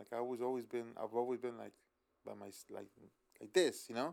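This is a man speaking. His pace is fairly quick. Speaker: tattoo artist, co-host. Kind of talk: casual banter. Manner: laid-back, slangy.

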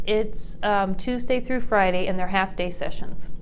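Amid audible room echo, a woman with an American accent and fairly high pitch speaks at a moderate pace with ordinary pitch variation. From US Midwest, Iowa. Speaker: school principal. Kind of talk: interview.

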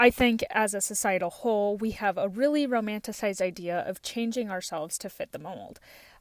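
A woman's plain, everyday voice at a fairly high pitch, fairly quick pace, and big swings in loudness, in a very clean recording with a silent background. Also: ordinary pitch variation. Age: 20s. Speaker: podcast host. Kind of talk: casual monologue.

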